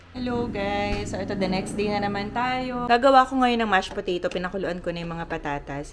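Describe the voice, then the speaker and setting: A woman speaks at a fairly quick pace in a medium-pitched voice with ordinary pitch variation, over noticeable background noise. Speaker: vlogger, flight attendant. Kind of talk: casual vlog.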